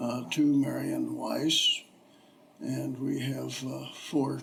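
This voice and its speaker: Over noticeable background noise, a man speaks with a Midwestern American accent. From Ohio, US Midwest. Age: 80s+. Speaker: retired businessman, local resident interviewee. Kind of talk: oral history interview. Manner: halting, many fillers.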